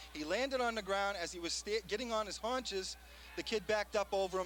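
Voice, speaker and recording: A man with an American accent talks at a very fast pace. His pitch is high, and music plays in the background. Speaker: football play-by-play commentator. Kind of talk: live commentary. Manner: animated; loud.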